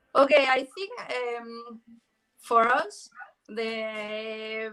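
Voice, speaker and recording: A woman's voice with fairly high pitch. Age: 30s. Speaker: football freestyler. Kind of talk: online interview. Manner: hesitant.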